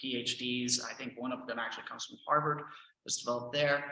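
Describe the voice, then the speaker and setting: In a Texan accent, a man talks with a fairly high pitch. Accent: Texan American English. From Texas, Houston. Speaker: language teacher and trainer. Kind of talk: presentation.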